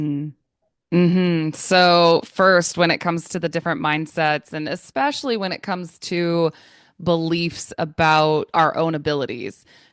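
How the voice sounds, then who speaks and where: In a normal speaking voice, a woman with an American accent talks at a fairly slow pace, her fairly low pitch moving with ordinary variation. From United States. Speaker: English trainer. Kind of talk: interview answer.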